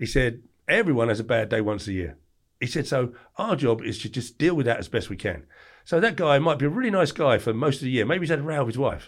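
The tone is animated. The pace is very fast. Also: man, medium pitch for a man. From southeast England (Margate, Kent). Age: 40s. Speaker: former doorman telling life stories. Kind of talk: casual interview storytelling.

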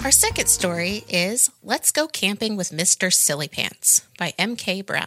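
With lively intonation, the reading voice stays unforced.

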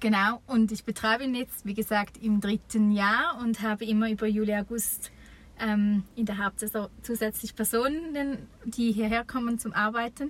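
Fairly even intonation and a fairly high pitch mark a woman's ordinary speaking voice, which moves at a moderate pace. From eastern Switzerland. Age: 30s. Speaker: campsite owner. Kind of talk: interview. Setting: campsite, improvised recording booth.

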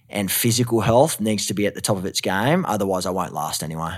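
In a very clean recording with a silent background, a man talks at a very fast pace with a strong Australian accent. His voice is fairly low, with ordinary pitch variation. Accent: thick Australian. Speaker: actor and mental health advocate. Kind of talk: casual interview chat. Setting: studio recording in Los Angeles.

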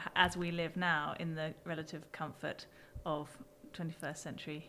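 Speaking at a fairly quick pace, a woman with a British accent has a fairly low pitch. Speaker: podcast co-host. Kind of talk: casual chat.

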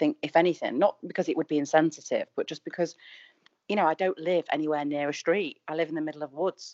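Speaking in a Mancunian accent, a woman talks at a very fast pace. Her pitch is fairly low and her intonation fairly even. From Manchester. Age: 40s. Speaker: Instagram influencer. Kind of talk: casual chat.

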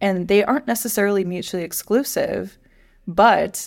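Against a silent background in a very clean recording, a woman with vocal fry speaks at a moderate pace with fairly even intonation. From US Midwest. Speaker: podcast co-host, higher education professional. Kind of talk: casual chat.

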